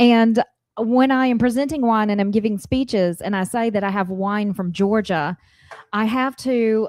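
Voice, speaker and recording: A woman with an American accent speaks at a fairly high pitch and a moderate pace, with ordinary pitch variation. The recording is very clean, with a silent background and a dry, close sound with no echo. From north Florida, Hamilton County. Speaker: wine importer. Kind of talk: casual chat.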